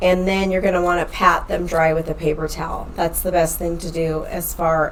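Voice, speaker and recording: A woman speaks with hardly any pauses. Noticeable background noise and audible room echo surround her voice. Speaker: online health and fitness coach. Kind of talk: podcast tutorial. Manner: casual, chatty.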